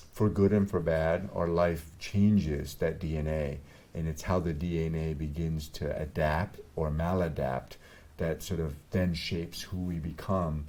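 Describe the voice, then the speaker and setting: A man with a very deep, low pitch and a dark, mellow tone speaks with fairly even intonation amid audible room echo. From Vietnam. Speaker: doctor. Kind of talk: interview.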